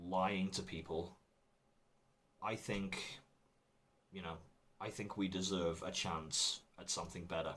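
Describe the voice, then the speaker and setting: Bright and sharp in tone, the voice stays flat and monotone at a fairly slow pace, broken by long, frequent pauses. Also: man, very deep, low pitch for a man. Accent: British. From England. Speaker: comedian. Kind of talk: recorded talk.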